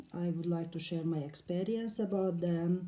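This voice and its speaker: A woman with a non-native accent, a fairly low pitch, a dark, mellow tone, and fairly even intonation. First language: not English. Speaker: silk mandala painter. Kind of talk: casual talk to camera. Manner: hesitant, many fillers.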